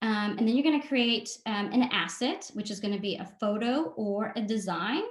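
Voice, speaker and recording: Moderately paced, a woman speaks at a fairly high pitch. Her voice is somewhat breathy, with ordinary pitch variation. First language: not English (English is her third language). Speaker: marketing consultant and workshop presenter. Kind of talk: webinar presentation. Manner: frequent filler 'um'.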